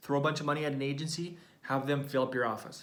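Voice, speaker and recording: A man's fairly high-pitched, animated voice at a very fast pace, with audible room echo and noticeable background noise. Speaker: business coach for chiropractors. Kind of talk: live training video.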